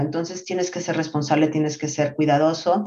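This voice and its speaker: A woman's very deep, low voice at a fairly quick pace with fairly even intonation. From Mexico City. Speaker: marketing executive. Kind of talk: interview. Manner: hesitant fillers, repeats words.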